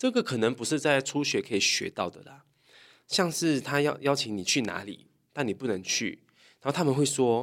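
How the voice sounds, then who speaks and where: A man at a moderate pace, fairly high in pitch, with very wide pitch swings and big shifts in loudness, on a very clean recording with a silent background. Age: young. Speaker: Japanese language YouTuber and teacher. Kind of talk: casual chat.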